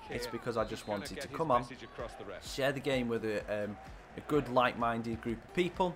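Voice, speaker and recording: A man talks at a moderate pace with an English accent. Background noise is noticeable. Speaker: gaming streamer. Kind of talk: live game stream commentary. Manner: animated.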